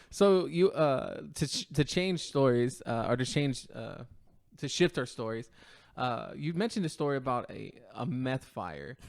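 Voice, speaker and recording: A man with a plain, everyday voice, fairly high in pitch, uses lively intonation at a fairly slow pace on a very clean recording with a silent background. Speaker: podcast host. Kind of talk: interview question.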